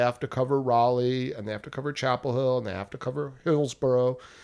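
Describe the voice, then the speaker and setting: A man talks with a New Jersey accent at a medium pitch. The recording is very clean, with a silent background. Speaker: journalist and publication founder. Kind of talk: casual interview. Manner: animated.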